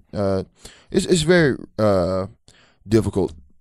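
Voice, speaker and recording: The background is silent and the recording very clean. A man does the talking. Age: 30s. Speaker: sports podcast host. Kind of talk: casual sports talk. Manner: casual, conversational.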